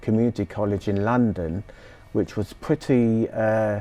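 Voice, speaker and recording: With a British accent, a man of fairly low pitch speaks in a dark, mellow tone, fairly even in intonation and moderate in pace. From southeast England, Sussex. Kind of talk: interview.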